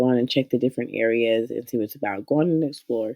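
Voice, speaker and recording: This woman speaks in a very deep, low pitch. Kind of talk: casual software tutorial to camera.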